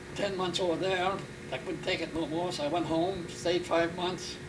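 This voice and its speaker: A man with a high pitch speaks at a moderate pace in a monotone, flat intonation, with noticeable background noise and audible room echo. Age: 90s. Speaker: war veteran. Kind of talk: interview. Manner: halting.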